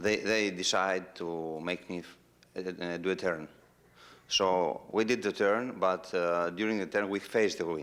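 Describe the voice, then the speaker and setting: Very deep, low-pitched male voice with a non-native accent, fairly even intonation and fairly slow pace, on a very clean recording with a silent background. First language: Greek. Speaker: human-powered aircraft pilot. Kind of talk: audience Q&A anecdote. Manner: halting.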